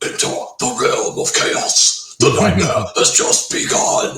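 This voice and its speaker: A man's put-on character voice, extremely high in pitch and fairly slow, with a slight echo. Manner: harsh, aggressive, dramatic.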